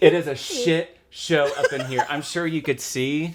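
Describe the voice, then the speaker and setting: Loud and animated, a man speaks at a fairly slow pace. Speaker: podcast host. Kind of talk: casual chat. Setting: home bedroom.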